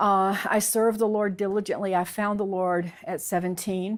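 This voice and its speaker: A woman with a Southern US accent talks at a medium pitch and a moderate pace. Her intonation is fairly even, and the recording is very clean with a silent background. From US South, Alabama (born Texas). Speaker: convert sharing her story. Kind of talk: interview testimony. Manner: halting, many fillers.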